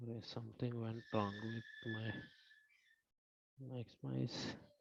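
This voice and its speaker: A soft-spoken man talks at a very slow pace. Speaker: online course instructor. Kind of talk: lecture. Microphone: too quiet.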